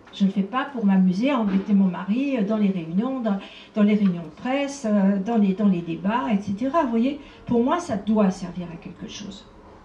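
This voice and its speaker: Her voice is fairly high for a woman with ordinary pitch variation, heard with audible room echo and noticeable background noise. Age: 70s. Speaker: abuse survivor and association founder. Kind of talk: conference talk.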